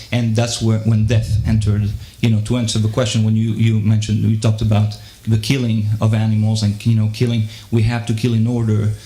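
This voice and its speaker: A man speaks at a fairly quick pace and fairly low pitch, his intonation monotone and flat and his loudness very even. Noticeable background noise and audible room echo surround him. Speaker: audience member asking question. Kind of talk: Q&A question from audience. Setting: live debate with audience. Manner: halting, many fillers and repetitions.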